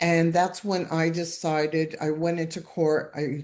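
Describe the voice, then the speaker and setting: Against noticeable background noise, a woman with a fairly low pitch talks at a fairly slow pace. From Canada, Toronto. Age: 60s. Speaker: divorce survivor guest. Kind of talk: testimony. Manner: halting.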